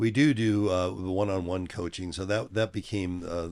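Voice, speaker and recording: Very deep and low, the man's voice keeps a fairly even intonation. The recording is very clean, with a silent background. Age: 70s. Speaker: fitness company CEO and powerlifter. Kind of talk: casual interview. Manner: halting, many fillers.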